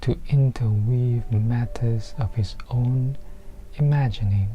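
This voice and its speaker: Someone speaks at a very slow pace over noticeable background noise. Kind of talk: audiobook-style book reading.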